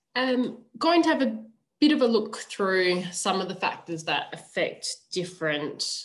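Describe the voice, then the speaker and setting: This woman has a normal speaking voice and a moderate pace. Her intonation is lively. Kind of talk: webinar presentation. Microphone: video call.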